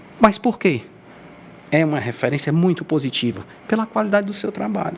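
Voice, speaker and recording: A man at a fairly high pitch and a fairly quick pace, with very wide pitch swings. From Brazil, Ceará (Groaíras). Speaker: podcast host. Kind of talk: podcast interview. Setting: studio. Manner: halting.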